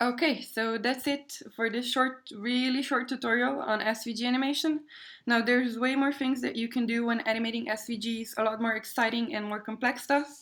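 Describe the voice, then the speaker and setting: Speaking at a fairly quick pace, a woman with a non-native accent uses a high pitch. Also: fairly even intonation. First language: not English. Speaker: web developer. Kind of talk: tutorial. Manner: hesitant, many fillers.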